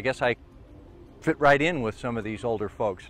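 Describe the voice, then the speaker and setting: A man's intonation is lively while music sounds behind him. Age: 60s. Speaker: TV journalist and video producer. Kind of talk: documentary narration.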